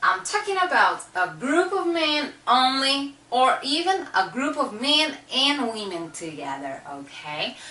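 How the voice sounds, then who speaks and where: A woman projects her high voice in a raised tone with very wide pitch swings, at a fairly slow pace with hardly any pauses. Audible room echo and noticeable background noise are present. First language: Portuguese. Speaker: language teacher. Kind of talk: tutorial.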